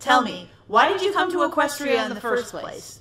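A cartoonish character voice with a high pitch moves along at a moderate pace. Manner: ominous, deliberate.

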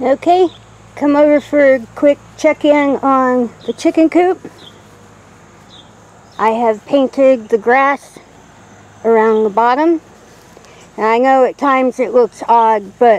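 A woman's high-pitched voice at a very slow pace, with ordinary pitch variation, long, frequent pauses and a dry sound with no echo. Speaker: homestead vlogger. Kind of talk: casual vlog chat. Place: garden. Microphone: phone near.

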